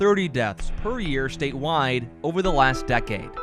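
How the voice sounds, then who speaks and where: A man with lively intonation over music in the background. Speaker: TV news anchor and reporter. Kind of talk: TV news reporter package voiceover.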